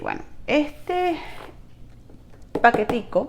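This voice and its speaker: The speaker is a woman. She talks in a Venezuelan accent. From Venezuela (Trujillo, rural Andes). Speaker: network marketing distributor. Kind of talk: product review vlog, casual. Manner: chatty, informal, with hesitations.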